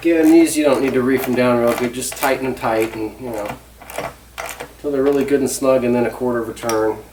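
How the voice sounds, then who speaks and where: Mumbling at a fairly quick pace, the speaker leaves long, frequent pauses over noticeable background noise. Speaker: DIY hobbyist filming an assembly. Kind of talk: casual assembly tutorial. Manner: mumbling, talking to himself.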